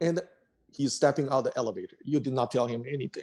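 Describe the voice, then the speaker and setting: A dark, mellow tone with a Chinese accent. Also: man. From China. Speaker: tech executive. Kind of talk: interview.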